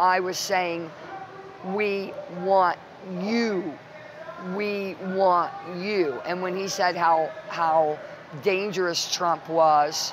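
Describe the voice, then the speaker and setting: Over noticeable background noise and audible room echo, a woman speaks at a medium pitch with fairly even intonation, at a very slow pace with long, frequent pauses. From Ohio. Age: 60s. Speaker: political activist. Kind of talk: interview. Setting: political convention. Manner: impassioned.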